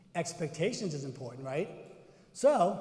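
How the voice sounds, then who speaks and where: With a slight Boston accent, a man speaks at a moderate pace in a high pitch with a dark, mellow tone, and audible room echo surrounds him. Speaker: cardiovascular educator / presenter. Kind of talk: conference workshop presentation with audience interaction. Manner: animated, conversational.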